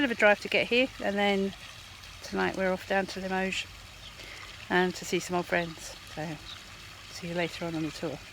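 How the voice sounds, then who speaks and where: Long, frequent pauses break up moderately paced speech, and noticeable background noise runs underneath. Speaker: travel vlogger. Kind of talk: casual vlog talk to camera. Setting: outdoors in abbey gardens. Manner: soft-spoken, talking quietly.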